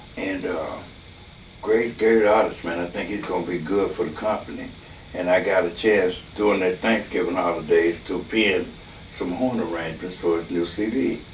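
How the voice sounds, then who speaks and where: Over noticeable background noise and audible room echo, a man with a very deep, low pitch talks at a moderate pace with fairly even intonation. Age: 70s. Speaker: horn arranger and musician. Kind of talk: casual interview. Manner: relaxed, hesitant with many fillers.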